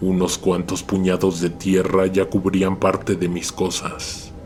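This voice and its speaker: A man with a very deep, low pitch, speaking very slowly amid noticeable background noise. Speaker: horror story narrator. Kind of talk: horror story narration.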